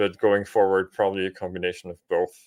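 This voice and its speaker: This man's voice sits fairly low in pitch. He talks at a moderate pace. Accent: Austrian. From Austria. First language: German. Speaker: business coach and marketer. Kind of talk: podcast interview.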